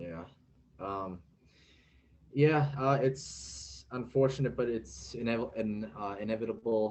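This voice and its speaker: At a very slow pace, a man with a medium, somewhat breathy voice speaks with lively intonation, big swings in loudness and long, frequent pauses. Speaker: interviewer, former Marine. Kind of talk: interview questions.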